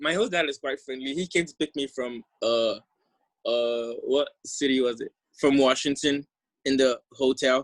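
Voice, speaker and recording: A man with a fairly high pitch speaks with fairly even intonation in a dry, close sound with no echo. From Ghana. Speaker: exchange program alumnus. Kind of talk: presentation.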